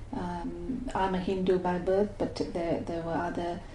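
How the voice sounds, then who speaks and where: Audible echo from the room surrounds speech delivered at a medium speed. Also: woman. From Malaysia. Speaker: migrant interviewee. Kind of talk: oral history interview. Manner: hesitant, many fillers.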